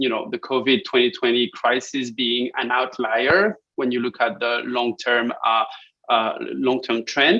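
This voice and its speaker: A man speaks with a French accent. His tone is bright and sharp, at a moderate pace. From France. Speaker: academic researcher presenting a paper. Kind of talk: conference presentation. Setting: online conference. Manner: hesitant, many fillers and repetitions.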